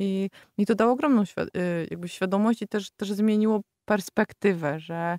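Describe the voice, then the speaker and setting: A woman speaks at a moderate pace in a plain, everyday voice. The sound is dry and close with no echo, on a very clean recording with a silent background. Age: 30s. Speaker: yoga teacher. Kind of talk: casual chat.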